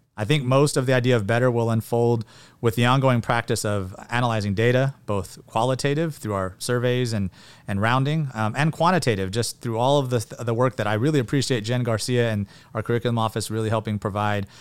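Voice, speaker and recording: A man's medium-pitched voice in a Californian accent, fairly quick pace and ordinary pitch variation, on a very clean recording with a silent background. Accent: Californian American English. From California Central Valley (Porterville). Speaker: high school principal. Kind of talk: interview.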